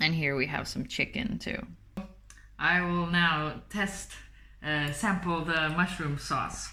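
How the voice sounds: At a slow pace, a woman talks in a low pitch with a bright, sharp tone and fairly even intonation.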